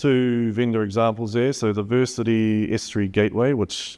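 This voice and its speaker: With a New Zealand accent, a man speaks in a dark, mellow tone at medium pitch, keeping a moderate pace and fairly even intonation over a quiet background. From New Zealand, Gisborne. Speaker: solution architect presenting at a conference. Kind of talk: conference presentation. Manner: hesitant, with many fillers.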